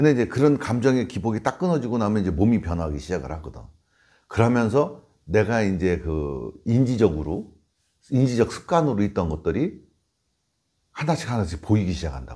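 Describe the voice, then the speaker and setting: This man's fairly low voice has a dark, mellow tone and vocal fry, with very wide pitch swings and big swings in loudness. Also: fairly quick pace, very clean recording, silent background. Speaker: Buddhist monk teaching meditation. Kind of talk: informal dharma talk. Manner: conversational, explanatory.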